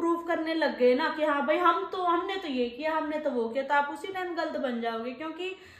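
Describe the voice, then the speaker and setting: Audible room echo surrounds a woman with a high pitch who speaks with hardly any pauses. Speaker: vlogger. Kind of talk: casual chat. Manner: speaks in masculine verb forms. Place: home room. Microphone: phone near.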